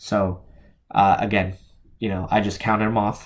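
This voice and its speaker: With an American accent, a man speaks at a moderate pace in a fairly low voice with vocal fry and fairly even intonation. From New Jersey, US. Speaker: crypto YouTuber. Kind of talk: solo video commentary on crypto research. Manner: hesitant, many fillers.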